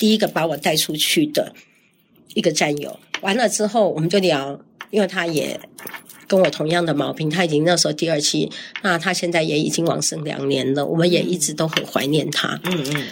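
Ordinary pitch variation and a fairly quick pace mark an unremarkable speaking voice. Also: woman. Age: 60s. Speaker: ovarian cancer survivor and community elder-care founder. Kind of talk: casual interview.

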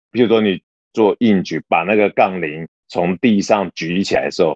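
The pace here is moderate. It is an unremarkable speaking voice, and its pitch varies in an ordinary way. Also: man. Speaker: podcast co-host, office worker and gym-goer. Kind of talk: casual chat.

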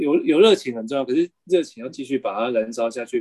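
A man's fairly high voice with a Taiwanese accent, lively intonation and a dark, mellow tone, recorded dry and close with no echo. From Taiwan, Kaohsiung. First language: Taiwanese Hokkien (speaking Chinese). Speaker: bookshop founder and cultural policy worker. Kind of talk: interview conversation. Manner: hesitant, many fillers.

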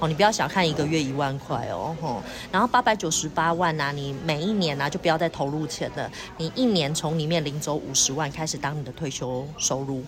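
Over noticeable background noise, a woman with a very deep, low pitch talks at a fairly quick pace. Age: 40s. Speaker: insurance and financial advisor. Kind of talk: interview.

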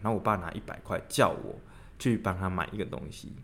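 An unremarkable speaking voice from a man, fairly low in pitch, at a fairly quick pace. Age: 30s. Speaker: podcast co-host. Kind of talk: casual chat.

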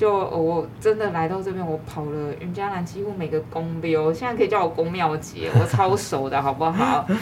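A woman with a fairly low pitch and ordinary pitch variation talks at a moderate pace with hardly any pauses. Noticeable background noise and audible room echo are present. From Taiwan, New Taipei (Yonghe). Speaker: arts manager and business owner. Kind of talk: casual interview.

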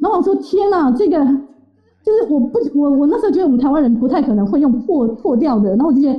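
A woman speaks very fast with hardly any pauses, her high-pitched voice making very wide pitch swings while the loudness stays very even. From Taiwan. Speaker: interview guest. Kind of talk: interview storytelling.

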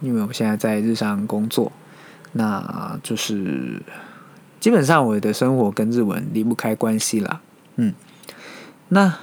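Speaking at a very slow pace, a man with a medium pitch uses lively intonation. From Taiwan. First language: Mandarin (Taiwan) (speaking Japanese). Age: 30s. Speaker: podcast host, office worker. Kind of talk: solo podcast monologue. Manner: hesitant, many fillers.

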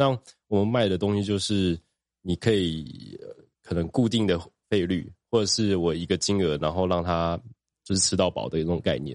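The speech moves at a moderate pace with normal rise and fall in pitch. Long pauses come often, over a quiet background. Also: man, very deep, low pitch for a man. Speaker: aquarium shop heir. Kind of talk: casual chat.

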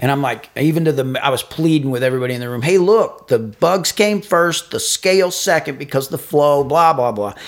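A man's plain, everyday voice, fairly high in pitch, with lively intonation, a fairly quick pace and hardly any pauses. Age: 50s. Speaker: podcast co-host, businessman. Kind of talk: casual chat.

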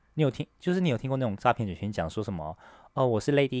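In a Taiwanese accent, a man speaks with lively intonation in a dry, close sound with no echo and a very clean recording over a silent background. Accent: Taiwanese Mandarin. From Taiwan, Taipei. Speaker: podcast co-host. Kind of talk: casual chat.

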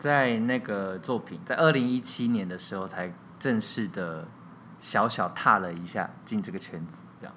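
A man with a fairly low pitch and a bright, sharp tone talks at a fairly slow pace. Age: 30s. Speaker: theatre director and playwright. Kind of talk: interview.

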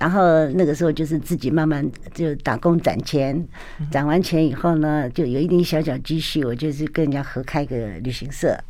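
Very deep, low female voice with a dark, mellow tone and fairly even intonation. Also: moderate pace. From Taiwan. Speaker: businesswoman and former politician. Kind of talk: radio interview. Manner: frequent laughter.

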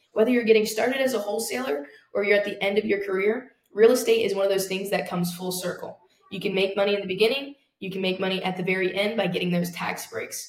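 A very fast woman's voice at medium pitch with fairly even intonation and audible room echo. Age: young. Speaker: real estate investor. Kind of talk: interview.

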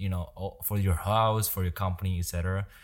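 A man with a Chinese accent and a very deep, low pitch speaks at a moderate pace with fairly even intonation and a somewhat breathy quality, recorded very cleanly against a silent background. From Taiwan. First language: Mandarin Chinese. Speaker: podcaster and entrepreneur. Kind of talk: casual chat.

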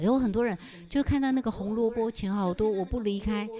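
Somewhat breathy and dark, mellow in tone, a woman talks at a moderate pace. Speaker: personal finance author and retired university teacher. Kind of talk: casual interview chat. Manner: animated; projected, stage-like delivery.

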